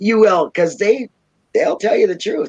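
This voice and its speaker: Someone with a Minnesotan accent talks at a fairly quick pace. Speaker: YouTuber. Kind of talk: casual chat.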